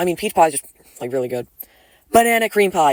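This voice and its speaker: The sound is dry and close with no echo. A man talks with lively intonation. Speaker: youtuber ranking things in tier lists. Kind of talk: casual vlog commentary. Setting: open room at home. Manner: casual, filler-heavy; quiet.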